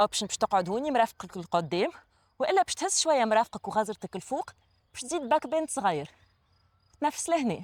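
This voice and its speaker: A woman with a Tunisian accent speaks at a fairly high pitch and a fairly quick pace. Her pitch swings very widely, and the sound is dry and close with no echo. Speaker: yoga instructor. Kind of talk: guided yoga class instruction.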